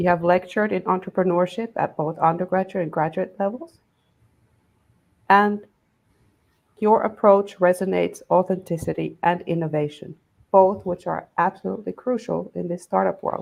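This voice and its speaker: A woman with a non-native accent and medium pitch speaks at a moderate pace with fairly even intonation, leaving long, frequent pauses. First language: not English. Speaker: panel moderator. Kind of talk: panel introductions.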